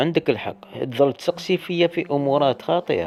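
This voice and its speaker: Noticeable background noise runs under the recording. A man speaks at a moderate pace with lively intonation. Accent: Algerian. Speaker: dream interpreter. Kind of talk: casual talk to camera.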